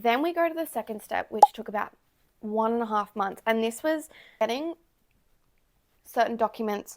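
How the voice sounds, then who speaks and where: A woman talks in an Australian accent at a fairly high pitch, her tone relaxed. The sound is dry and close, with no echo. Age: 20s. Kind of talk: casual talk to camera. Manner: relaxed, chatty.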